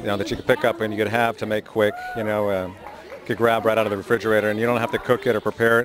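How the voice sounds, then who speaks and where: A man talks at a very fast pace over crowd noise in the background. The sound is dry with no echo. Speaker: market vendor or shopper. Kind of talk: interview answer. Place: market. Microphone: handheld.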